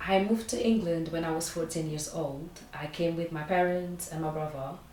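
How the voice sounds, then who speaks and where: A woman's very deep, low voice at a moderate pace, with fairly even intonation, audible room echo and noticeable background noise. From Portugal. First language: Portuguese. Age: 20s. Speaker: recent graduate. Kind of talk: interview. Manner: hesitant, many fillers.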